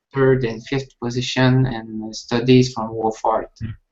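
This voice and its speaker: The man's voice sits at a medium pitch. He delivers everything in a flat, monotone way. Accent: Quebec. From Quebec, Canada. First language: French. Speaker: violin student. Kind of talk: casual chat. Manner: halting.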